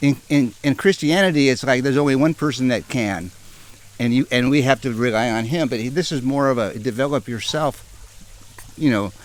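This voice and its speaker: Noticeable background noise sits under this man's voice. He has an American accent and keeps a fairly quick pace. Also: medium pitch for a man, ordinary pitch variation. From Northern California. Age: 60s. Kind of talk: interview answer.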